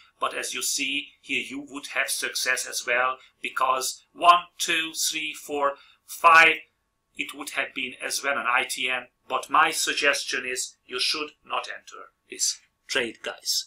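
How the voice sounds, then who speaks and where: Very slowly, a man speaks with a non-native accent. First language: not English. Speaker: trading video host. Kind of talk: tutorial. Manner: halting.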